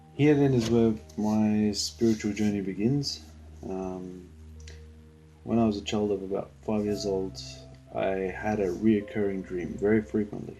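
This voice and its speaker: A man's fairly low voice with ordinary pitch variation, at a fairly slow pace with long, frequent pauses, music in the background. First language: Spanish. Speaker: believer giving personal testimony. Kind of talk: testimony. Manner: halting, many fillers.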